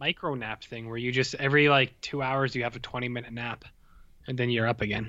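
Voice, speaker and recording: A man with a Canadian accent, medium-pitched, very fast and monotone with flat intonation, his tone bright and sharp. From Canada. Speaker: film podcast co-host. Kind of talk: casual chat. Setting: video call.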